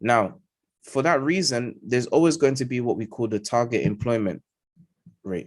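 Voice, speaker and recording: A man with a London accent, medium pitch, moderate pace and ordinary pitch variation. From London, England. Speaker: trading educator. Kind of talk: live market analysis. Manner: emphatic, repetitive fillers.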